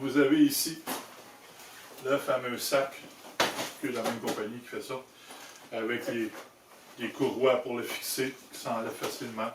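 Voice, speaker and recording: Over noticeable background noise, a man with a Quebec accent talks at a fairly slow pace in a medium pitch, his intonation monotone and flat, with big swings in loudness and long, frequent pauses. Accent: Québécois French. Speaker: motorcycle accessory maker and video host. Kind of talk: product demonstration tutorial. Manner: casual, conversational.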